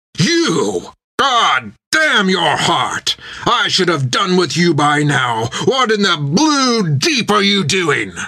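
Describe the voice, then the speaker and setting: A man shouts and bellows in a put-on character voice, pitched high with very wide pitch swings, at a very slow pace and very even loudness. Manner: roaring, screaming in anger.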